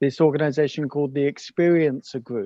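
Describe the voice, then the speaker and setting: Recorded with a dry, close sound and no echo, a man with an English accent speaks at a fairly high pitch in a dark, mellow tone. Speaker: paranormal podcaster. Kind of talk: casual chat. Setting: video call.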